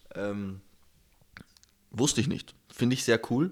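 A man speaks at a fairly slow pace. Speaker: podcast host. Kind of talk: casual chat.

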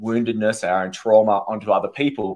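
A man with an Australian accent speaks at a medium pitch and moderate pace with fairly even intonation over a quiet background. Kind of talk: casual interview chat.

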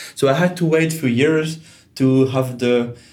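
A man speaks in a Swiss French accent with ordinary pitch variation. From Switzerland, Geneva. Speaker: digital consultant. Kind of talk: interview. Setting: co-working space.

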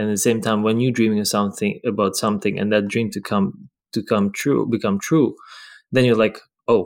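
With a Ukrainian accent, a man speaks fairly quickly at fairly low pitch and with fairly even intonation, on a very clean recording with a silent background. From Ukraine, Lviv. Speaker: professional ballroom dancer. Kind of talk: casual interview. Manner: halting.

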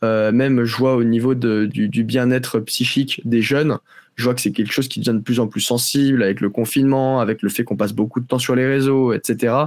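Monotone, flat intonation at a fairly quick pace, with very even loudness throughout. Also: man, medium pitch for a man. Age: 20s. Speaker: agency co-founder and CEO. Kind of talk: interview.

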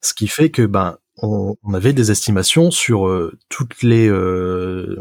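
A man speaks at a fairly low pitch with ordinary pitch variation. The sound is dry and close, with no echo. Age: 20s. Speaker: software developer. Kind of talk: casual chat. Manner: halting.

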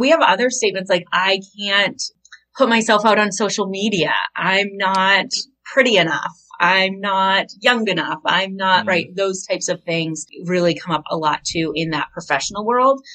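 This woman speaks with an American accent at medium pitch, a moderate pace and ordinary pitch variation. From Maine, US. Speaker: business coach. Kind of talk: podcast interview.

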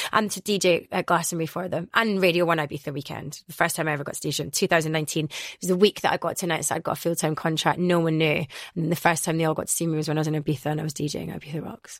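Talking very fast in a fairly low voice, a woman is heard on a very clean recording with a silent background. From Scotland, Glasgow. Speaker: radio and club DJ. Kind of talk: interview. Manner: animated.

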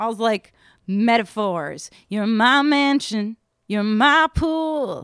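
A woman with an American accent speaks very slowly at a fairly high pitch with lively intonation. The recording is very clean, silent in the background, and dry and close with no echo. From upstate New York, Saratoga Springs. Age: 40s. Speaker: singer-songwriter and music industry professional. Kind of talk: casual interview chat.

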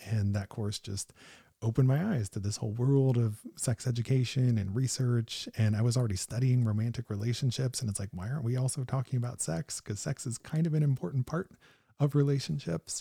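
A man with an American accent talks at a very fast pace in a medium pitch with ordinary pitch variation, his dark, mellow tone somewhat breathy, in a dry, close sound with no echo on a very clean recording with a silent background. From US Midwest, northeastern Ohio. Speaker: psychologist and sex researcher. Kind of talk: casual interview. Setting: in a home basement.

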